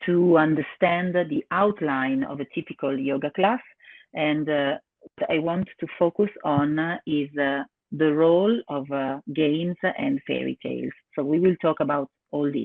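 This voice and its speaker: Speaking in an Italian accent, the voice moves at a fairly slow pace with ordinary pitch variation. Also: woman, very deep, low pitch for a woman. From Italy. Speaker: yoga teacher. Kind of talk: webinar presentation. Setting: online webinar. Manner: halting, many fillers.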